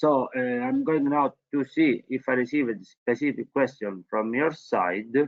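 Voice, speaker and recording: A man's medium-pitched voice with a strong non-native accent, ordinary pitch variation and a moderate pace. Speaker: webinar presenter. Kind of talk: informational webinar presentation. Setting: online webinar. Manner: hesitant, many fillers.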